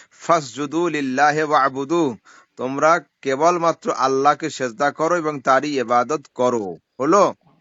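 Fairly high pitch from a man, varying in an ordinary way. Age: 30s. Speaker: Islamic cleric (mufti). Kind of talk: heated debate. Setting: phone call. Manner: animated.

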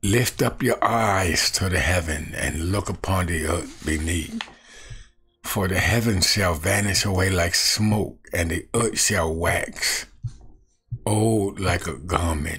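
Against a quiet background, a man with a very deep, low pitch speaks at a very slow pace with ordinary pitch variation. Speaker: evangelist. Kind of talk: scripture reading and commentary. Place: home room. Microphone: webcam.

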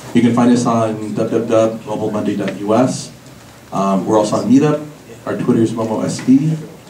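A man of medium pitch talks at a moderate pace with fairly even intonation, amid light background noise and audible room echo. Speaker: tech meetup organizer. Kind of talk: event presentation. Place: hall.

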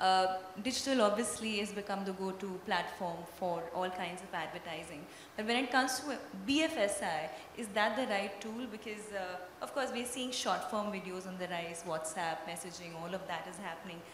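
A woman speaks at a moderate pace and medium pitch with ordinary pitch variation, her voice carrying audible room echo over light background noise. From Kerala, India. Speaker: panel moderator. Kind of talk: panel discussion. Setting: stage with audience. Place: stage. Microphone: handheld.

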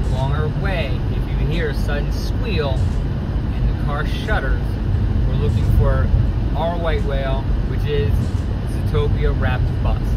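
The recording is dry with no echo, set against loud background noise. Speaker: vlogger. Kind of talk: casual vlog chat. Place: car. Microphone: phone near.

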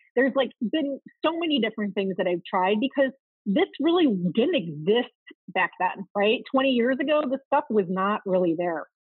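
A woman speaks at a fairly high pitch with very wide pitch swings, the sound dry with no echo and the background quiet. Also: moderate pace. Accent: American. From US Midwest, outside Chicago, Illinois. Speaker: marketing operations consultant; podcast guest. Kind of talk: podcast interview. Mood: upbeat, animated. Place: home room. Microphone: video call.

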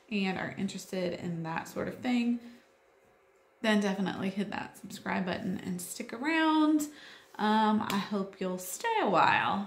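Room echo is audible as a woman talks at a fairly slow pace. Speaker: homeschool mom vlogger. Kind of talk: casual vlog chat. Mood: friendly, lighthearted. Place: home room. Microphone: phone near.

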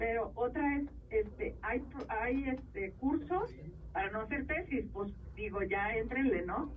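A woman is speaking. The room echo is audible. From Mexico, Jalisco (Sayula). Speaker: columnist and TV commentator. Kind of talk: interview. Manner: halting, many fillers.

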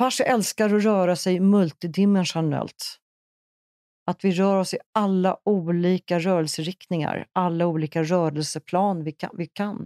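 Very clean and silent in the background, this recording has a woman with an unremarkable speaking voice talking at medium pitch and a moderate pace with fairly even intonation. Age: 60s. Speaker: massage therapist and movement instructor. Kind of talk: interview. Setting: studio.

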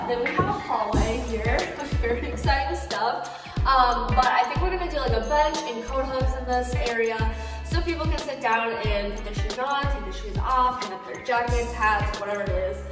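Clear music plays in the background, and audible room echo surrounds the voice. A woman talks at a moderate pace. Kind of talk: casual vlog chat. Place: home room. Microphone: camera far.

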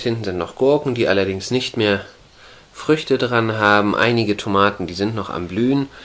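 A man with a plain, everyday voice, fairly low pitch, ordinary pitch variation and a moderate pace. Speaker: hobby gardener vlogger. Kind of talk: casual vlog chat. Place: garden. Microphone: phone near.

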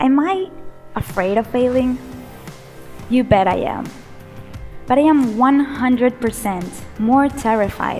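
Faint music plays behind a woman who talks at a fairly slow pace in a high pitch, with lively intonation and long, frequent pauses. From Venezuela. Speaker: motivational speaker. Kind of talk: motivational keynote speech. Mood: warm, playful. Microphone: headset.

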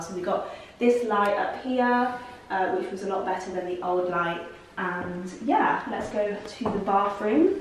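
Strong room echo and light background noise surround a woman speaking at a fairly slow pace with fairly even intonation. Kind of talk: casual vlog chat. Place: home room.

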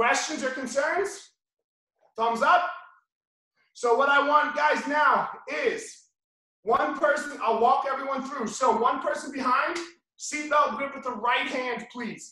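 Against a quiet background with audible room echo, a man with an extremely high pitch and bright, sharp tone speaks in a raised, projected voice at a fairly slow pace, ordinary pitch variation and long, frequent pauses. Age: 40s. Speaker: jiu-jitsu instructor. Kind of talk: tutorial. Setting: video call. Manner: animated. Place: gym. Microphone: video call.

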